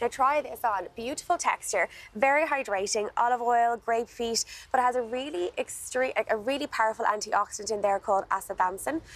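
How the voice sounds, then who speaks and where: A woman with an Irish accent speaks at a fairly quick pace and a fairly high pitch. Her pitch varies in an ordinary way, and the sound is dry with no echo. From Ireland. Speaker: skincare expert; guest. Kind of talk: product demonstration. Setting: TV studio. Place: garden. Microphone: lapel.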